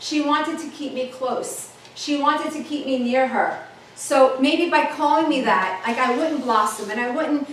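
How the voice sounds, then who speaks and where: A woman talks in a high, animated voice at a moderate pace, with ordinary pitch variation. Audible room echo and noticeable background noise surround her. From New York, the Bronx. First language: Italian. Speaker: motivational speaker. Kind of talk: keynote talk.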